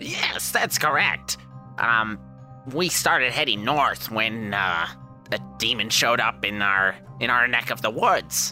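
A man puts on a character voice with a fairly low pitch and very wide pitch swings. He moves at a fairly slow pace while clear music plays in the background. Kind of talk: comic voice put on by game master. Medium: actual play. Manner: polite, matter-of-fact.

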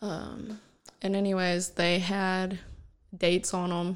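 A woman speaks at a fairly low pitch. The recording is very clean, with a silent background. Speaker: host's fiancée. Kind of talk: casual chat. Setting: home recording with headphones. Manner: giggly, laughs often.

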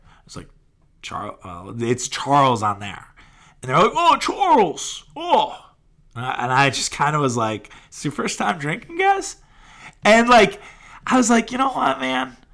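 Speaking at a fairly slow pace in an American accent, a man leaves long, frequent pauses and shows big swings in loudness. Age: 30s. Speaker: sports podcast host. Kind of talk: casual solo sports podcast.

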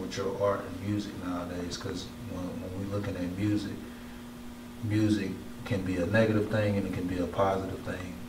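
Over noticeable background noise and audible room echo, the speech moves at a fairly quick pace in a monotone, flat intonation. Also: man. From Mobile, Alabama. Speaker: podcast host. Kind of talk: interview.

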